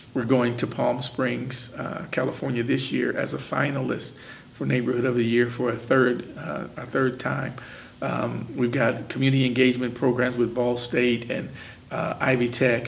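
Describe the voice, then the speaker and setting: A man with a Midwestern US accent speaks at medium pitch and a moderate pace with monotone, flat intonation, with audible room echo and noticeable background noise. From Indiana, Muncie. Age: 60s. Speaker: retired factory worker. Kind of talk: oral history interview.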